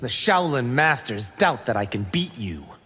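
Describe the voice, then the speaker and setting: A man growls in a put-on character voice at medium pitch. His pitch swings very widely. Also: moderate pace. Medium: video game. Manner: eager, brash, confident.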